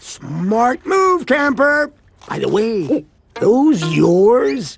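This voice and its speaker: A cartoonish character voice, fairly high in pitch, at a very slow pace. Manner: boastful, folksy.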